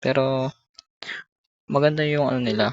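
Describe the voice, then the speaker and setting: A soft-spoken voice at a moderate pace. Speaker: gaming streamer. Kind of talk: gameplay commentary. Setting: at home. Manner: soft-spoken, quiet; halting, many fillers.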